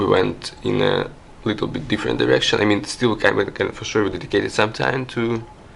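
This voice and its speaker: There is noticeable background noise as a man speaks with a non-native accent. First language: not English. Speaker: artist. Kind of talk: interview. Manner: halting, many fillers and repetitions.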